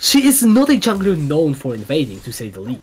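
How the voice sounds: A man's voice carries a slightly husky edge and big pitch swings. He keeps to a moderate pace.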